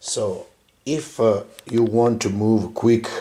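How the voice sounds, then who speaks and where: Pitched in the medium range, a man speaks at a very slow pace. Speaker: tabletop wargaming channel host. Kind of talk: tutorial. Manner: halting, many filler sounds.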